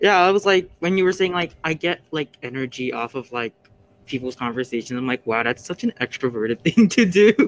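A man speaks at a fairly quick clip, his fairly high voice swinging very widely in pitch. The sound is dry and close, with no echo. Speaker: student podcast co-host. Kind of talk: casual chat.

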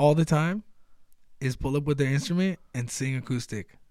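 At a moderate pace, a man with an American accent talks with lively intonation. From Baja California, Mexico. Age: 20s. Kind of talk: casual chat. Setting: studio.

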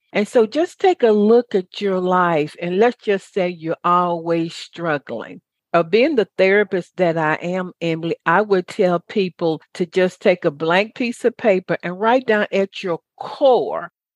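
Against a quiet background, in a dry, close sound with no echo, a woman with an American accent uses an ordinary speaking voice at medium pitch, with ordinary pitch variation and a fairly slow pace. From US South. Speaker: radio talk show host and motivational speaker. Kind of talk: interview.

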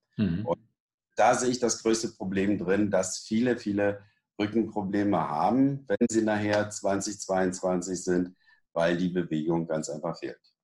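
A man with an unremarkable speaking voice talks at a fairly slow pace, with a fairly low pitch and ordinary pitch variation. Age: 60s. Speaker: fitness and back-training expert. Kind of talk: interview. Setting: studio.

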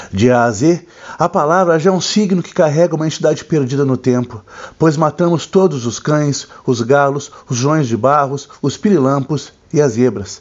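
An ordinary speaking voice. The intonation rises and falls in a lively way. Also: man. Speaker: book reviewer host. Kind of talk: dramatic literary narration, solemn and elegiac book recommendation. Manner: grave, measured, somber and poetic, with theatrical pauses; formal, deliberate, evocative delivery.

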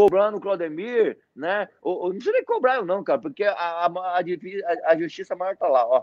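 This man has a high-pitched voice with ordinary variation. He talks at a moderate pace. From Mato Grosso, Brazil (born in Paraná, moved at 7-8). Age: 40s. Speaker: network marketing leader. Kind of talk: interview on a live stream.

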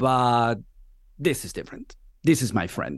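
Against a quiet background, a man with a Spanish accent speaks at a fairly quick pace. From Venezuela. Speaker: podcast host. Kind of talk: interview.

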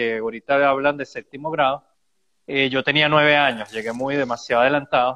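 Here a man with a plain, everyday voice speaks at a moderate pace, with a fairly high pitch and ordinary pitch variation. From Venezuela. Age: 40s. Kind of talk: interview.

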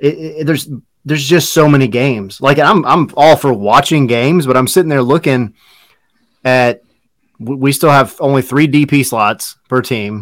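A man speaks in an unremarkable speaking voice with a fairly high pitch. He keeps a moderate pace and ordinary pitch variation. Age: 30s. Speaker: soccer podcast co-host. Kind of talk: casual chat. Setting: live stream.

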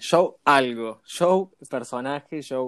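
At a very slow pace, a man speaks with ordinary pitch variation on a very clean recording with a silent background. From Argentina, rural Córdoba province. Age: 20s. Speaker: podcast host. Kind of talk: casual interview chat. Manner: animated.

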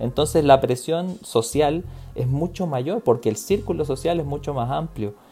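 With music behind him, a man talks at a fairly slow speed. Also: fairly high pitch for a man, lively intonation. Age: 30s. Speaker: psychiatrist. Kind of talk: casual chat.

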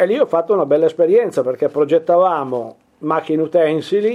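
A man is speaking. His pace is fairly slow. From Piedmont, Italy (Turin). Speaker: furniture and object restorer. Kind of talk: interview. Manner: halting.

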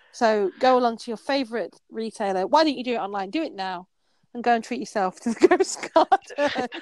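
A woman's high, fast-moving voice with a Yorkshire accent, a fairly quick pace, very wide pitch swings and big swings in loudness, on a very clean recording with a silent background. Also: dry, close sound with no echo. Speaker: novelist and podcast co-host. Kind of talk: casual chat.

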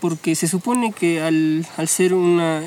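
A man's fairly high, monotone, flat delivery against noticeable background noise. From Peru, Huancayo. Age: 20s. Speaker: architecture student. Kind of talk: casual chat.

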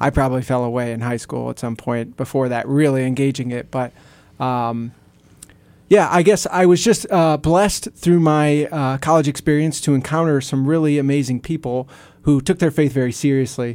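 The recording is very clean, with a silent background. A man speaks at a moderate pace with ordinary pitch variation. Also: fairly high pitch for a man. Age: 30s. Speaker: young husband in a men's prayer group. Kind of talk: casual radio interview.

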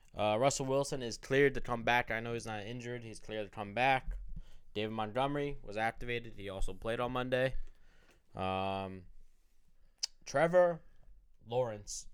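A man speaks at a moderate pace and medium pitch with ordinary pitch variation. He takes long, frequent pauses, and his loudness swings widely. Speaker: fantasy football podcast host. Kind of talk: casual chat. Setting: studio. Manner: profane, joking.

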